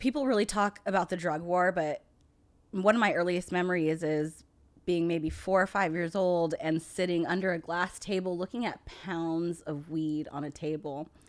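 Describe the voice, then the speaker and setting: A woman with a normal speaking voice talks at a moderate pace, her fairly low pitch showing ordinary pitch variation. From United States, Indian family. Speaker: cannabis podcast co-host, test lab worker. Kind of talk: casual chat. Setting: studio room, smoking.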